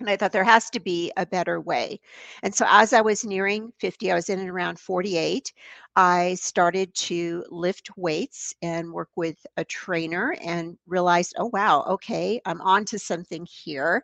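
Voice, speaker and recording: A woman's plain, everyday voice at a medium pitch, with ordinary pitch variation, a moderate pace, and a dry, close sound with no echo. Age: 60s. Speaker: fitness and nutrition coach. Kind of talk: casual chat.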